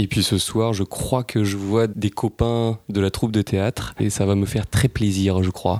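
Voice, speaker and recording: In a dry, close recording with no echo, a man with a fairly low pitch talks in a monotone, flat intonation, his loudness very even and hardly any pauses. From Paris. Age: 30s. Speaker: sustainability consultant. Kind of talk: casual interview.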